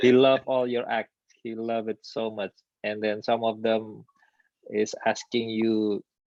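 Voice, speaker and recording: A man in an Indonesian accent, medium pitch, monotone, flat intonation and a fairly slow pace. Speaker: magician, channel host. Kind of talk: live stream interview. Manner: halting.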